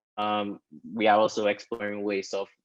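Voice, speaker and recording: A man with a fairly low pitch speaks at a moderate pace, the sound dry with no echo against a quiet background. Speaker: foundation staff member; panelist. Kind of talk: webinar panel discussion. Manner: hesitant, many fillers. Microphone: video call.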